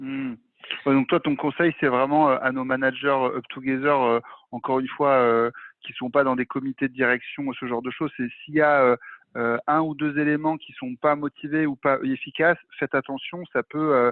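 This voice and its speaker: Pitched fairly high, a man talks with monotone, flat intonation. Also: moderate pace. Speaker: masterclass host. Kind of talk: interview. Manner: casual, many fillers.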